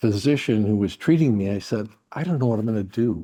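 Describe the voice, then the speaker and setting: In a dark, mellow tone, a man speaks at medium pitch with ordinary pitch variation. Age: 70s. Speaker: corporate lawyer and executive. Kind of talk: interview. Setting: conference.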